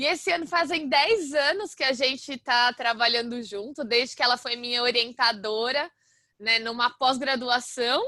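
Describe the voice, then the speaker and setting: Loud and bright with a sharp tone, a woman's high-pitched voice shows ordinary pitch variation. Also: moderate pace. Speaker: university lecturer. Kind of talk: lecture. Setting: video call.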